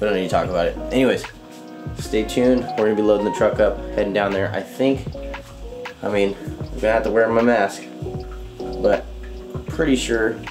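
Talking at a fairly quick clip, a man is heard with clear music behind him. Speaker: fishing vlogger. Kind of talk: casual vlog chat. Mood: subdued, serious about fires. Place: kitchen. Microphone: phone near.

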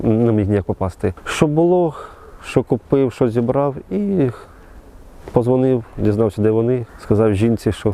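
A man's dark, mellow voice at a fairly slow pace, with lively intonation and very even loudness. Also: medium pitch for a man. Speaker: soldier, war veteran. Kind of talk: interview testimony. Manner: halting, with false starts.

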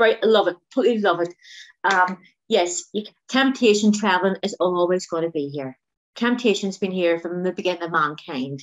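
Enthusiastic in tone, a woman talks at a moderate pace with a medium pitch and ordinary pitch variation. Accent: Northern Irish. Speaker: diet group coordinator. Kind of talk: interview answer.

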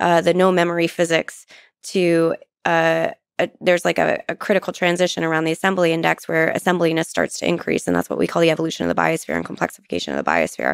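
A woman talks at a very fast pace, her loudness very even throughout. The sound is dry with no echo, and the background is quiet. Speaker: guest. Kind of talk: interview answer. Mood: thoughtful, lightly amused. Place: studio. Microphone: studio mic.

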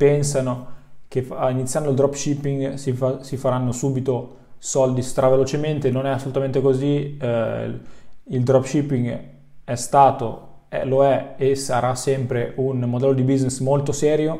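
A man speaks at a fairly slow pace in a dark, mellow tone, his intonation monotone and flat against a quiet background. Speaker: online business coach. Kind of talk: educational vlog talk. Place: home room.

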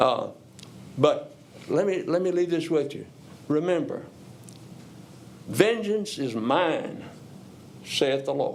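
A man speaks at a very slow pace with long, frequent pauses and audible room echo. His pitch is high, with very wide swings. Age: 70s. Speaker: retired educator, public commenter. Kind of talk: public comment at council meeting.

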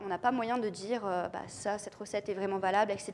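The intonation stays fairly even over light background noise. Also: woman. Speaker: mycologist and lecturer; lecturer. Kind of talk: lecture. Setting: conference room with audience and lapel mic. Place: hall.

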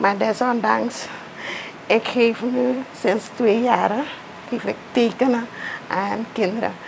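A woman speaks very slowly and flatly in a monotone, at a fairly high pitch. Long, frequent pauses break her speech, with noticeable background noise behind it. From Suriname. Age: 40s. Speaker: teacher and artist. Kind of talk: interview; tutorial. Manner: halting. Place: home room.

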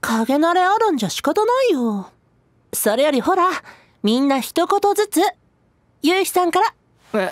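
A woman's put-on character voice, extremely high in pitch, with very wide pitch swings, a moderate pace and long, frequent pauses. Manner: bubbly, cute.

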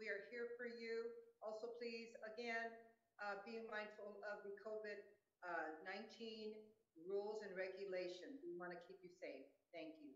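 A woman talks fairly slowly with ordinary pitch variation, her voice carrying audible room echo. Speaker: city council member. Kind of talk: council meeting remarks. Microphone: video call.

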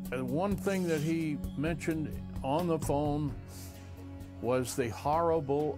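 A man talks at a very slow pace. Clear music plays in the background. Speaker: former radio announcer. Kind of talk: interview answer. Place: studio. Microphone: lapel.

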